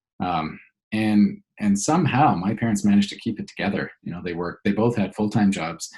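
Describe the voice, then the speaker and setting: A man talks at a fairly quick pace with a Canadian accent. His pitch is fairly low. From Canada, Alberta (childhood partly in Venezuela). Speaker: business coach. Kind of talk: interview. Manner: halting, many fillers and repeats.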